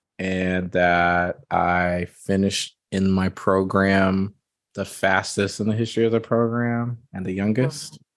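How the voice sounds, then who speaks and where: Over a quiet background, a man with an American accent speaks at a fairly slow pace. He has an unremarkable speaking voice, fairly low in pitch, with fairly even intonation. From United States. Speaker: software developer. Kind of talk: interview answer. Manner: casual, candid.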